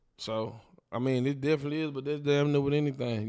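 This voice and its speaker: The man's tone is dark and mellow, at medium pitch. He talks at a fairly quick pace with monotone, flat intonation. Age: 30s. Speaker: DJ. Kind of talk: casual chat.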